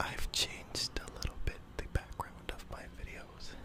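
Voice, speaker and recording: Whispering in a gentle tone, a man speaks at a very slow pace. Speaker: ASMR creator. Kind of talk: ASMR whispered triggers video. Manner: whispered, gentle. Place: home room. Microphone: studio mic.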